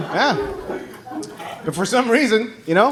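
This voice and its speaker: Very fast speech from a man, with noticeable background noise and audible room echo. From Taiwan. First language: Mandarin. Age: 30s. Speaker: stand-up comedian. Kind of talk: stand-up. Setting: stage with audience.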